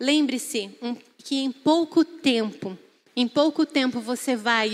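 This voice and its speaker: A woman's voice with ordinary pitch variation. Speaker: preacher. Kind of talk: sermon. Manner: animated.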